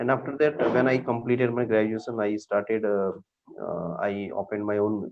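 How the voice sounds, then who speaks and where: In an Indian accent, a man talks at a fairly quick pace. His pitch is fairly low, with ordinary variation. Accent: Indian accent, wants to lose it. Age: 20s. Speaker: teacher and English learner. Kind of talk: online English lesson chat. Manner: halting, many fillers.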